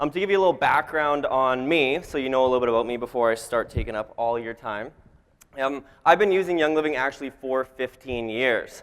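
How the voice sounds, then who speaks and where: Medium pitch and ordinary pitch variation from a male speaker, at a fairly quick clip. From Canada. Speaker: network marketing speaker. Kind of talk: motivational talk. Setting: stage with audience.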